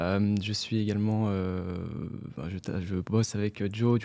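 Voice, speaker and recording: A man with a dark, mellow tone speaks at a fairly low pitch and a fairly slow pace. His intonation stays fairly even, and the recording is very clean with a silent background. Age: 20s. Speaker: investor and content creator. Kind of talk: casual interview conversation.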